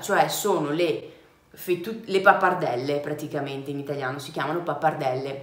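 Her lively intonation carries at a moderate pace as the woman speaks amid audible room echo. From Vicenza, Veneto, Italy. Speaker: travel vlogger. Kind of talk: casual talk to camera. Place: home room.

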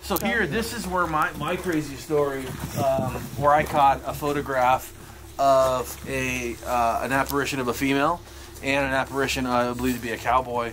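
Over light background noise, a man talks at a moderate pace. His pitch varies in an ordinary way. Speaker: paranormal investigator; tour guide. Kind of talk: casual chat. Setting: outdoors. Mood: earnest, storytelling. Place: empty room. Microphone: camera far.

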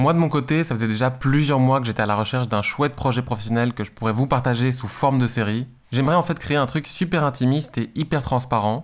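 Against a quiet background, a man rattles along at a very fast pace with hardly any pauses and ordinary pitch variation. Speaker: graphic designer youtuber. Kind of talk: casual vlog chat. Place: home room. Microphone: studio mic.

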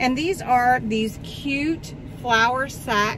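Noticeable background noise accompanies a woman whose voice has ordinary pitch variation and a dry sound with no echo. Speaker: haul vlogger. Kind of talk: casual vlog chat. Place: car. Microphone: phone near.

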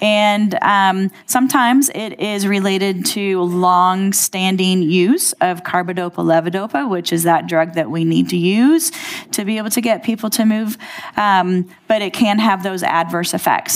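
A woman's pitch moves in an ordinary way as she talks at a moderate pace. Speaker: presenter. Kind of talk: lecture. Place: hall.

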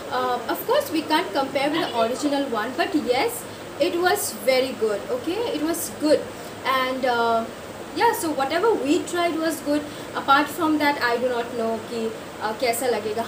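Noticeable background noise sits under a woman's voice. She speaks at a moderate pace with a high pitch. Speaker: food vlogger. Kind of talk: casual vlog chat. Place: home room. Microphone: phone near.

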